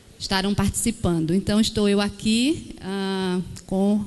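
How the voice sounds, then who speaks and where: A woman talks in a flat monotone with an Alagoas accent over noticeable background noise. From Alagoas, Brazil. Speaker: social worker. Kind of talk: formal speech.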